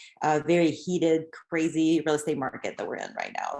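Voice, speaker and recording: A woman's very deep, low voice with a French accent, at a fairly quick pace. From Quebec, Canada. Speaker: real estate agent. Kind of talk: panel discussion.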